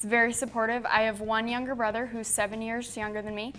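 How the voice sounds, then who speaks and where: A woman's fairly high, monotone, flat voice with an American accent, with music in the background. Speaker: scholarship recipient, high school graduate. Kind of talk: self-introduction interview.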